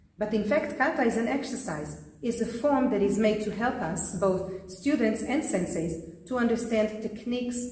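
Room echo is audible around a woman's voice. She talks at a moderate pace with ordinary pitch variation. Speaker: karate instructor. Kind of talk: lecture. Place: gym.

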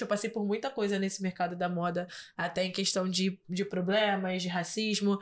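The woman keeps her intonation fairly even. Her delivery holds a moderate pace. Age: 20s. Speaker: model and influencer; influencer. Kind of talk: casual interview. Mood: warm, reflective. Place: studio. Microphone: studio mic.

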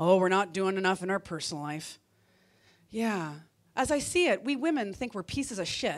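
Against a quiet background, a woman speaks with lively intonation and long, frequent pauses. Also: moderate pace. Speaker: comedian. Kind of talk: stand-up comedy set. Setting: stage with audience. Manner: animated, punchy; acts out voices of women and men for contrast. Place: stage. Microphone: handheld.

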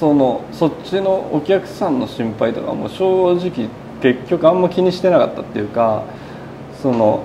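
Over clear background noise, a man with a fairly high pitch speaks at a moderate pace with lively intonation.

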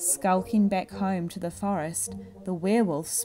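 The clip is reading aloud in a natural voice.

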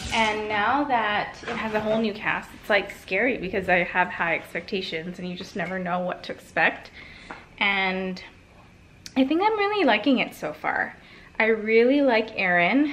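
With noticeable background noise, a woman speaks at a moderate pace in a fairly high pitch with ordinary pitch variation. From small island. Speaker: lifestyle vlogger. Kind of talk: casual vlog talk to camera.

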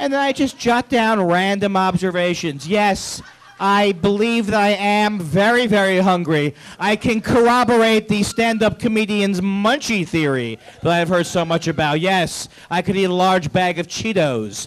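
This man has a high pitch with ordinary pitch variation. He talks at a moderate pace. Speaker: stand-up comedian. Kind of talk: stand-up comedy routine. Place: stage. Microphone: handheld.

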